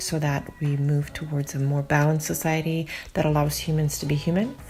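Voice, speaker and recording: Amid noticeable background noise, a woman with a very deep, low voice speaks at a fairly quick pace in a flat monotone. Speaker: podcast host. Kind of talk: podcast intro.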